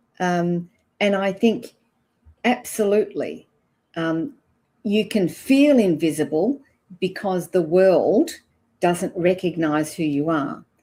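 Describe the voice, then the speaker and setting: A woman with an Australian accent, her tone dark and mellow, at a very slow pace broken by long, frequent pauses. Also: medium pitch for a woman, lively intonation. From Australia, Perth. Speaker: ageing expert. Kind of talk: interview answers.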